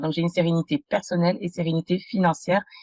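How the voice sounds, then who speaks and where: The woman's voice is medium in pitch and somewhat breathy. Her sound is dry and close, without echo. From France (adopted as a child from abroad). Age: 30s. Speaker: entrepreneur, podcast guest. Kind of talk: interview testimony. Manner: halting, many fillers.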